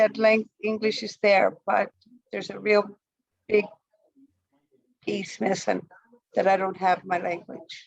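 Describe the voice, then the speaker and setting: Her medium-pitched voice is monotone and flat with vocal fry, as the woman talks at a fairly slow pace with long, frequent pauses and big swings in loudness. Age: 60s. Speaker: community participant. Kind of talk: casual chat. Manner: halting.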